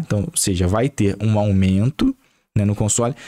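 The background is quiet as a man delivers his words fairly slowly, with pitch that varies in an ordinary way. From Brazil. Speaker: gaming YouTuber. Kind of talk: angry rant, sweary political tirade about prices and taxes. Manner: heated, sarcastic, swearing, exasperated, repeating himself. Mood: exasperated, irreverent. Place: home room. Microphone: studio mic.

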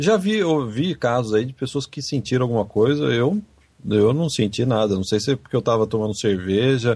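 A man's somewhat breathy voice moves at a moderate pace, its pitch varying in an ordinary way. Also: medium pitch for a man. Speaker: podcast host. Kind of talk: casual chat. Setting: Skype call.

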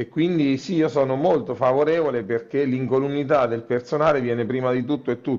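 In an ordinary speaking voice, a man talks at a medium pitch and a fairly quick pace, with fairly even intonation. He hardly pauses at all, and the background is quiet. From Italy, Macerata (Marche); Marche, Italy. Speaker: local politician. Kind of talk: interview. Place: office. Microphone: earbuds.

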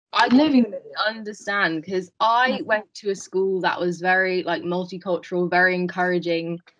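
The speaker has a British accent and ordinary pitch variation. Delivery comes at a moderate pace. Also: woman. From England. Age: 20s. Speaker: veterinary student. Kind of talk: panel discussion. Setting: video call. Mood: reflective, friendly. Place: home room. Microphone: video call.

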